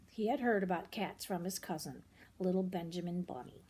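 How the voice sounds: A woman at a fairly low pitch, dark and mellow in tone with a slightly husky edge, at a fairly quick pace with ordinary pitch variation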